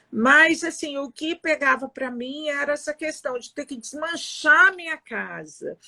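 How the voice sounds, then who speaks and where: In a raised, projected voice at high pitch, a woman speaks at a fairly slow pace with hardly any pauses, big swings in loudness and ordinary pitch variation, in a dry, close sound with no echo. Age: 60s. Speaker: Instagram live host. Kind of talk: casual chat. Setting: video call.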